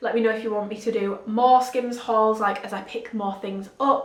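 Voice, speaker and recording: Amid noticeable background noise and audible room echo, a woman talks at a fairly quick pace in a fairly high pitch with fairly even intonation. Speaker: fashion and fitness YouTuber. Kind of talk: casual haul review vlog. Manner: casual, filler-heavy.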